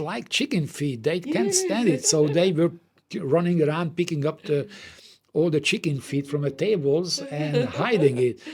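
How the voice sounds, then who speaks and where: Speaking at a moderate pace with a slight Hungarian accent, a man uses a fairly high, somewhat breathy voice and lively intonation. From Hungary. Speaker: doll company co-owner. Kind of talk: anecdote in casual chat. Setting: office.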